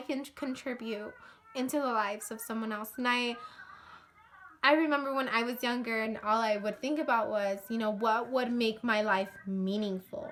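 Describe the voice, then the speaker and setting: A woman's high voice with ordinary pitch variation, against noticeable background noise. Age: 20s. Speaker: vlogger. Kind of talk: casual vlog monologue.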